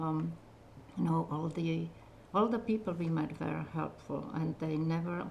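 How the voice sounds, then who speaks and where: A woman speaks with a strong Czech accent. Her pace is moderate. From Czechoslovakia. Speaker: retiring community TV operations manager. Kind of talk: interview.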